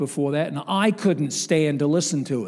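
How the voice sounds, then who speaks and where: In a very clean recording with a silent background, a man uses an ordinary speaking voice at a moderate pace with ordinary pitch variation. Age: 60s. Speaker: evangelist. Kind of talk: sermon. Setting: church.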